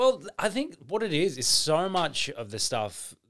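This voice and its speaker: The speaker is a man talking fairly slowly. The recording is very clean and the background is silent. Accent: Australian. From Melbourne, Victoria, Australia. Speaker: comedian. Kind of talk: casual chat.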